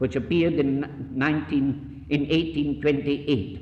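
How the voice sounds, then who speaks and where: The speaker is a man at medium pitch, somewhat breathy. He keeps a moderate pace. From Scotland. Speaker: missionary. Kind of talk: lecture.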